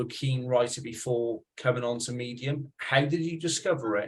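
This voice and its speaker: A Welsh accent with fairly even intonation. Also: man. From Wales. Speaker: podcast host. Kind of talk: casual interview.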